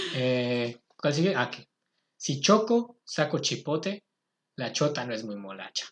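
Over a quiet background, a man speaks very slowly at a fairly high pitch, his voice swinging very widely. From Mexico, State of Mexico. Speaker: podcast host. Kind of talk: casual chat.

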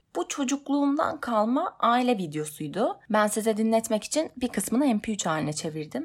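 With very wide pitch swings and hardly any pauses, a somewhat breathy woman with a fairly high pitch talks at a moderate pace on a very clean recording with a silent background. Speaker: podcaster working in television. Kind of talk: personal monologue podcast.

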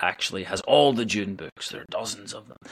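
A man in a Northern Irish accent speaks with fairly low pitch, a bright, sharp tone and ordinary pitch variation. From Northern Ireland. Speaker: musician and theatre performer. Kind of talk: interview. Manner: hesitant, many fillers.

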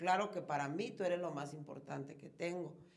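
A woman speaks at a moderate pace in a fairly low pitch with fairly even intonation. Audible room echo surrounds her voice. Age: 40s. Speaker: reality show contestant. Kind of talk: casual chat.

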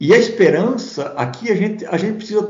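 Audible room echo is present. A man is talking through it. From southern Brazil, Santa Catarina (Blumenau). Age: 50s. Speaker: pastor and Bible commentator. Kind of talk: interview about theology. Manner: hesitant, with frequent repetitions.

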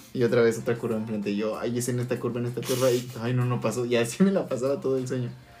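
A man at a medium pitch speaks at a very fast pace with hardly any pauses and fairly even intonation, in audible room echo. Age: 20s. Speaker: podcast co-host. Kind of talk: casual chat.

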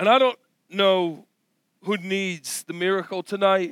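The recording is very clean, with a silent background and a dry, close sound with no echo. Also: man. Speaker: preacher. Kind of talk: sermon. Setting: church. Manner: animated, passionate preaching; emphatic, building to a crescendo.

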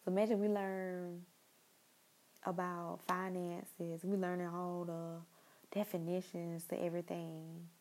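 A woman speaks at a fairly slow pace in a warm tone. Her intonation is monotone and flat. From Jacksonville, Florida. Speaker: podcast host. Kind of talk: casual solo podcast monologue. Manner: casual, unscripted, warm.

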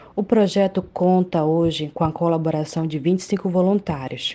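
This woman speaks at a fairly low pitch. Her intonation stays fairly even. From Brazil, Santarém, Pará. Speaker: volunteer project vice-coordinator. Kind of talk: interview testimony.

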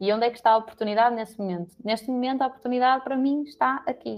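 A woman talks at a fairly quick pace in an ordinary speaking voice with fairly even intonation. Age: 20s. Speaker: HR professional, psychologist. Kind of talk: casual chat.

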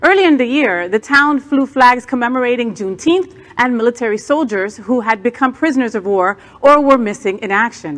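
Fairly quick speech in an American accent, with lively intonation. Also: woman, high pitch for a woman. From New Jersey. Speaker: news co-anchor and drag performer. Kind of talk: news reading.

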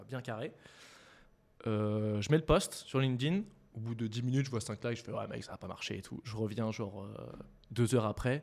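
A man speaks at a moderate pace and medium pitch with ordinary pitch variation, his loudness swinging widely. Long, frequent pauses mark his speech on a very clean recording with a silent background. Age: 20s. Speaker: startup co-founder. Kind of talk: casual interview chat.

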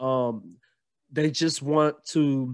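Against a quiet background, a man with a Southern US accent speaks with a fairly high pitch. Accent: Southern US (Georgia). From US South, Gainesville, Georgia. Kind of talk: casual interview chat.

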